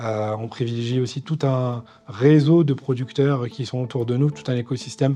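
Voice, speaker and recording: His intonation holds fairly even. This man talks at a medium pitch. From northern France, Nord-Pas-de-Calais. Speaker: chef. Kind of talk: interview monologue. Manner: halting, many fillers.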